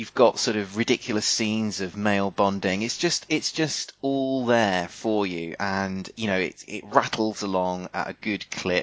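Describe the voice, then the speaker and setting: A man speaks at a fairly slow pace in an ordinary speaking voice, pitched fairly low. His pitch varies in an ordinary way, and there are hardly any pauses. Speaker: podcast host. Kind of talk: casual chat, podcast banter.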